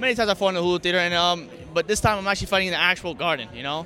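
A man speaks at a very fast pace in a high voice. His voice is raised and projected. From US, Staten Island NY. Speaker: fighter. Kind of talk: press interview. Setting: arena press event.

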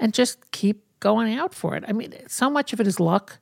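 A woman with a New York accent at a moderate pace, with ordinary pitch variation, in a very clean recording with a silent background and a dry, close sound with no echo. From New York City, Brooklyn. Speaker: fashion industry executive. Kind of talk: interview.

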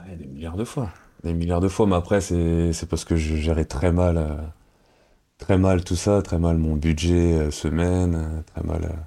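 Very deep and low, a man's voice has a dark, mellow tone and flat, monotone intonation as he speaks very slowly. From Paris region, France (Cergy, Val-d'Oise). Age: 30s. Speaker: professional ice hockey player. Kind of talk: interview. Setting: studio. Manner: halting.

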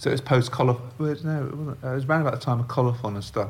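A man with a London accent speaks in a somewhat breathy voice. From London, England. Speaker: magazine designer and shop owner. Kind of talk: interview. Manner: halting.

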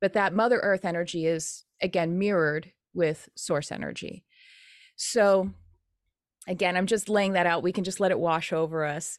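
Over a quiet background, a woman speaks in an unremarkable speaking voice at a fairly low pitch with fairly even intonation. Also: moderate pace. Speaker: spiritual teacher and animal medium. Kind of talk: interview. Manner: casual, conversational.

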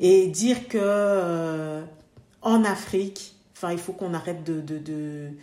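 Speaking at a very slow pace, a woman with a fairly low pitch and ordinary pitch variation is heard with audible room echo. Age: 30s. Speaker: dentist. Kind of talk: casual interview.

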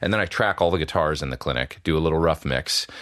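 A man's very deep, low voice in a western Canadian accent, ordinary pitch variation and vocal fry. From Alberta, Canada. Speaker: session guitarist and YouTuber. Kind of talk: casual interview chat. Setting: remote call from home studio.

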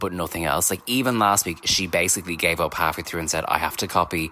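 Very fast and full of lively intonation, this voice has a bright, sharp tone and an Irish accent. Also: man. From Ireland. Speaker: listener caller. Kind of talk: voicemail.

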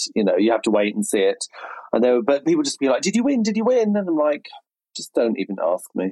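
A very fast-talking man in a dry, close recording with no echo. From Berkshire, England. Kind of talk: casual chat.

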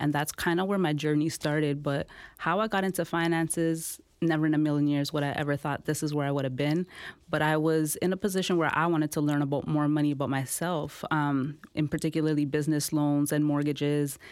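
On a very clean recording with a silent background, a woman speaks at a fairly quick pace in a very deep, low pitch, her loudness very even and her intonation monotone and flat. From Toronto, Canada (Jane and Finch). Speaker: financial literacy educator. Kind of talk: interview.

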